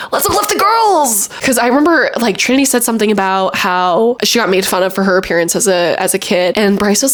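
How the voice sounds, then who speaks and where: Animated and fairly quick, a woman's voice swings very widely in pitch over noticeable background noise. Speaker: youtuber, reality TV commentator. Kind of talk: casual vlog commentary. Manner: animated, chatty; filler-heavy, self-correcting.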